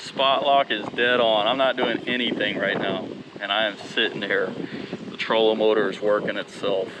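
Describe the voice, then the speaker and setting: With noticeable noise in the background, a man speaks at a moderate pace and a medium pitch. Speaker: kayak fishing youtuber. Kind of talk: outdoor vlog commentary. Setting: outdoors on a kayak. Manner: animated.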